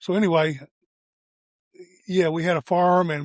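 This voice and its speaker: A man with a Tennessee accent speaks at a high pitch and a moderate pace. His intonation is fairly even, in a dry, close sound with no echo. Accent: US Southern (Tennessee). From Tennessee, south of Nashville. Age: 70s. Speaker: real estate agent. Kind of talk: interview.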